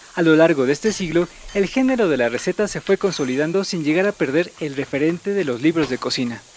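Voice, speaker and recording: A man speaks with a Mexican accent at a fairly high pitch and a fairly quick pace. His intonation is lively, and there is noticeable background noise. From Mexico City. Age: 30s. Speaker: podcast host. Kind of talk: scripted narration.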